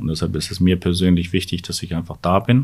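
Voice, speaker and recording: A man is speaking. His pitch is very deep and low. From northern Germany. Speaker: urologist. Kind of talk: interview.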